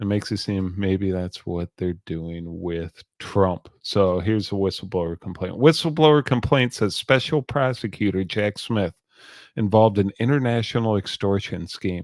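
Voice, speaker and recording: Mumbling from a man with a fairly low pitch, ordinary pitch variation, and a moderate pace, in a dry, close sound with no echo. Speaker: news show host. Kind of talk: solo online news commentary. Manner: halting.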